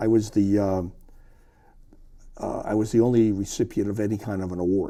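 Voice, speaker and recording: A man's fairly low voice, dark and mellow in tone, moves at a moderate pace in a monotone, flat intonation with long, frequent pauses. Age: 70s. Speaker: retired sportswriter. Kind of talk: interview. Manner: halting, with frequent repetitions.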